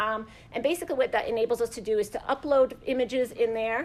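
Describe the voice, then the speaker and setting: A woman talks at a fairly quick pace in a high pitch with ordinary pitch variation. The recording is very clean, the background silent. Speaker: museum imaging professional. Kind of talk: conference presentation. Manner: fast.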